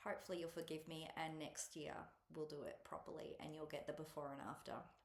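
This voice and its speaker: At a moderate pace, a woman talks in a very deep, low voice, with audible room echo around her. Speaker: cross-stitch vlogger. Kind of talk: casual chat. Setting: at a relative's house, alone. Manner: soft-spoken; hesitant, many ums. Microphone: laptop mic.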